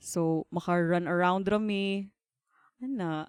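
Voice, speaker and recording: The woman's pitch sits at medium with ordinary variation. The sound is dry and close, with no echo. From Philippines, Davao (Mindanao). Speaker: embroidery business owner. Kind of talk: podcast interview.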